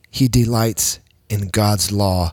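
Speaking very slowly at a fairly low pitch, a man is heard in a dry, close sound with no echo on a very clean recording with a silent background. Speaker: pastor. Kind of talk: devotional podcast talk. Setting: church with worship practice in background.

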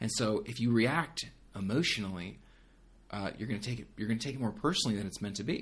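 A man speaks at a very fast pace, sounding somewhat breathy. His pitch variation is ordinary. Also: medium pitch for a man. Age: 30s. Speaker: young adult pastor. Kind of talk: casual interview.

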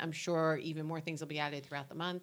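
This woman has a very deep, low voice. She speaks in a New Jersey accent. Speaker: local community podcast co-host. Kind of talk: casual chat; reading an events calendar.

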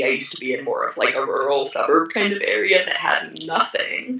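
Noticeable noise fills the background. The talking is very fast. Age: 20s. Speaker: patient advocate. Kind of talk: interview. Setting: video call.

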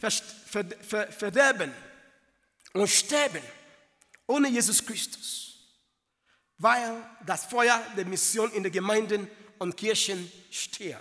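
With a non-native accent, a man with a high voice speaks at a very slow pace in a raised, projected voice, using ordinary pitch variation and long, frequent pauses. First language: not German (speaking German). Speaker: preacher. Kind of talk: sermon.

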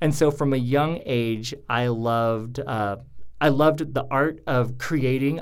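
A man with a medium-pitched voice speaks amid audible room echo. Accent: American. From US Northwest, Idaho (Coeur d'Alene). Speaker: theater director and actor. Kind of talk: casual interview. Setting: studio.

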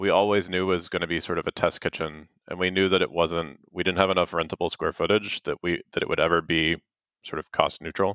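The sound is dry and close with no echo, the tone bright and sharp, and the intonation fairly even. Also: man. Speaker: makerspace co-founder. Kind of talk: casual interview. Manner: hesitant, many fillers.

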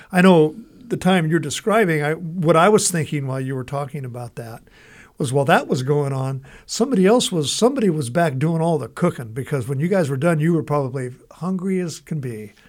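With a plain, everyday voice and an American accent, a man speaks at a fairly quick pace and fairly high pitch, his intonation lively, in a very clean recording with a silent background. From Southern California. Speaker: radio show host. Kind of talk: casual chat.

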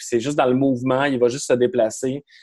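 A man speaks in a Quebec accent. His tone is dark and mellow. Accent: Québécois French. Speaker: film podcast host. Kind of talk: casual chat.

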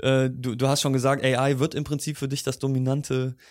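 This man speaks at a medium pitch. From Germany. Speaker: podcast host. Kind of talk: interview.

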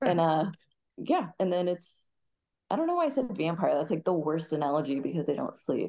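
A woman with a plain, everyday voice and an American accent. Her pitch is fairly low, and her intonation is lively. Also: fairly quick pace. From US Midwest, Kansas City. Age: 40s. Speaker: Muay Thai fighter. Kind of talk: casual interview chat.

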